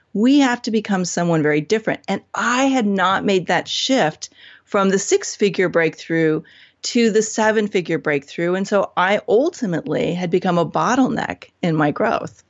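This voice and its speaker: A woman speaks in an ordinary speaking voice at a medium pitch. Her pace is moderate and her intonation lively. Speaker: business coach. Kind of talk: podcast interview.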